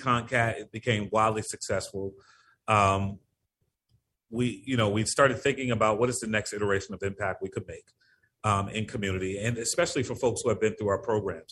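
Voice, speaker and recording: An ordinary speaking voice from a man with an American accent, medium in pitch, fairly even in intonation and fairly quick, against a quiet background. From Connecticut, US (Norwalk). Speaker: community economic development leader. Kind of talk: interview.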